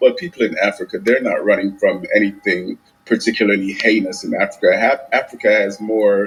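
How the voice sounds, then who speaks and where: A man with a Caribbean accent talks at a moderate pace. Noticeable background noise runs behind him. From Jamaica. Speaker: caller. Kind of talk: heated debate.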